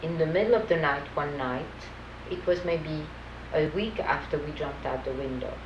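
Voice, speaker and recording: A woman with a French accent speaks over noticeable background noise. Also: moderate pace. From France. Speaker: Holocaust survivor. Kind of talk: testimony interview.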